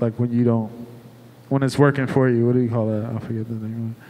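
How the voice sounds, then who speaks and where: A man with an American accent speaks at a medium pitch in a flat, monotone delivery. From Cleveland, Ohio. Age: 30s. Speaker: restaurant owner. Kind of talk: live panel discussion. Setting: stage with audience.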